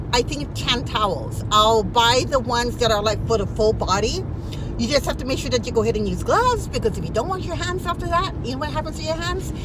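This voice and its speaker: A woman talks at a very fast pace, with a dry sound with no echo and noticeable background noise. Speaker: lifestyle vlogger. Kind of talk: casual vlog chat. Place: car. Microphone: phone near.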